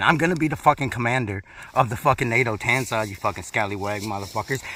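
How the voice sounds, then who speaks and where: Bright and sharp in tone, the speaker talks very fast in an American accent. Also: man. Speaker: military veteran. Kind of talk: casual vlog monologue.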